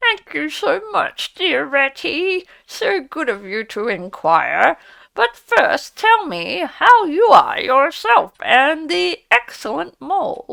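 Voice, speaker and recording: A put-on character voice, female-sounding and high-pitched, at a very slow pace with very wide pitch swings. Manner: feigned, courteous.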